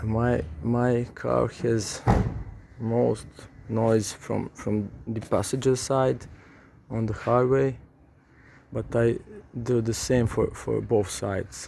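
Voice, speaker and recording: A man's dark, mellow voice with a non-native accent, very slow and broken by long, frequent pauses, the intonation fairly even. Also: medium pitch for a man. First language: not English. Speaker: car repair vlogger. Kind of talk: tutorial. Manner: halting, many repeated words.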